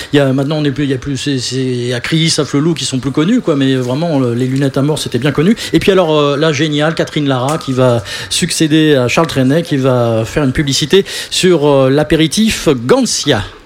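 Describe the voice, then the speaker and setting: Noticeable background noise sits behind the speech. The pace is moderate, with ordinary pitch variation. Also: man, fairly high pitch for a man. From Paris region (Boulogne-Billancourt). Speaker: radio host. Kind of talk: live radio show.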